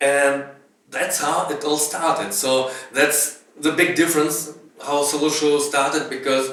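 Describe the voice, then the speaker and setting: Speaking in a Russian accent with monotone, flat intonation, a man uses a fairly high pitch at a fairly slow pace, with audible room echo. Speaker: pianist and band musician. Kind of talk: documentary interview.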